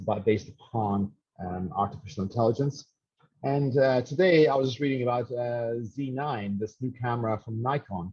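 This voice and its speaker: Somewhat breathy male speech with a dark, mellow tone. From Ireland, rural west coast. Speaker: professor. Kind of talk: webinar lecture. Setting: online webinar. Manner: hesitant, many fillers and repetitions.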